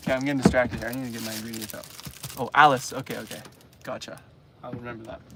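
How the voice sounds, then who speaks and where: A man with a Canadian accent speaks very fast at a medium pitch in a flat monotone, with long, frequent pauses and noticeable background noise. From Canada. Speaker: travel vlogger. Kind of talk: live stream chat. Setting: inside a camper van. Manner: casual, hesitant with fillers.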